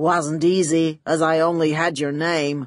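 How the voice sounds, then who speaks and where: In a put-on character voice, a woman speaks at a fairly slow pace, very deep and low in pitch, with monotone, flat intonation. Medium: read story. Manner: oily, smooth.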